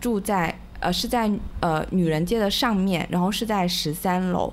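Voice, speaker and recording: A woman's plain, everyday voice, medium in pitch, with lively intonation. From Hunan, mainland China. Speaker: guest, former Hong Kong resident. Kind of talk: casual chat. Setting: home, dark room at night.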